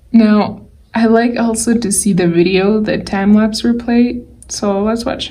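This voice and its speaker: Speaking at a fairly slow pace, a woman sounds somewhat breathy, her loudness swinging widely amid audible room echo. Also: fairly high pitch for a woman, fairly even intonation. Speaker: digital artist. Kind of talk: tutorial.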